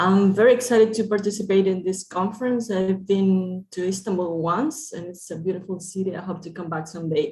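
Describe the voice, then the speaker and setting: On a very clean recording with a silent background, a woman with a Spanish accent speaks at a fairly quick pace with hardly any pauses and big swings in loudness. Her somewhat breathy voice has a dark, mellow tone and sits at medium pitch, with ordinary variation. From Nicaragua. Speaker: researcher. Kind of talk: conference presentation.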